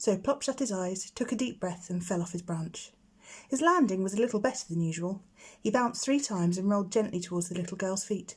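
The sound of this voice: A woman talks at a fairly quick pace in a medium pitch, with ordinary pitch variation. Her tone is slightly mellow with a slightly husky edge.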